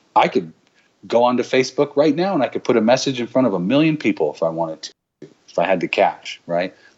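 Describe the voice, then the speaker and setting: A man's medium-pitched voice with vocal fry, very wide pitch swings and a very fast pace. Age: 40s. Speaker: digital agency owner. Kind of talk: casual chat.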